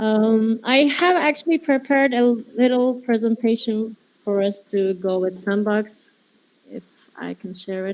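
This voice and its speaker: A woman with a Turkish accent speaks at a fairly slow pace in a fairly high pitch, her pitch varying in an ordinary way while her loudness swings widely. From Turkey. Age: 20s. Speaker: metaverse designer. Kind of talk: presentation. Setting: virtual world meetup. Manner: halting.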